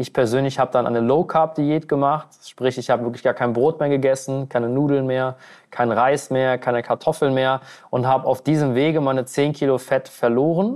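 Here is a man with an unremarkable speaking voice, pitched medium, at a moderate pace. His intonation stays fairly even against a quiet background. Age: 20s. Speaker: weight-loss coach. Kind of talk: podcast interview.

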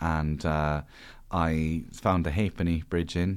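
With an Irish accent, a man with a very deep, low pitch speaks in fairly even intonation on a very clean recording with a silent background. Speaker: stand-up comedian and author. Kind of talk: casual chat.

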